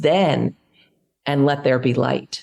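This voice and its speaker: A woman speaks at a fairly slow pace in a plain, everyday voice with ordinary pitch variation. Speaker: podcast guest on pleasure and prosperity. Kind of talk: podcast interview.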